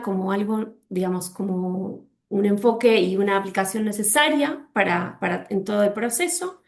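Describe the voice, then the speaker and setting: Her medium pitch and ordinary pitch variation mark this woman's speech. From Argentina. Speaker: legal specialist speaker. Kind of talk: webinar presentation. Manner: halting with fillers.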